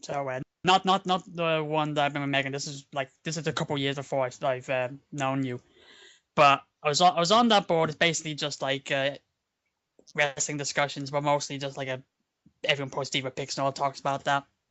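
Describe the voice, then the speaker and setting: A man's fairly high voice at a fairly quick pace, with fairly even intonation. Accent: Dublin. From Ireland, Dublin. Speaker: online roleplay community member. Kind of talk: casual chat. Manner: halting.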